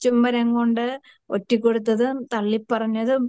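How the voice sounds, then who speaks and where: A woman speaks in a fairly high pitch with a dark, mellow tone. Her intonation stays flat and monotone, and the sound is dry and close with no echo. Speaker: prayer group leader. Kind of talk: sermon. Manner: conversational, asks listeners questions.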